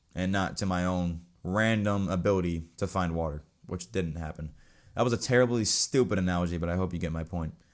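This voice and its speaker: Very deep and low in pitch, a man talks at a fairly quick pace with ordinary pitch variation, recorded very cleanly against a silent background. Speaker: podcast host. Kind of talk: solo religious podcast talk. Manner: fast; casual.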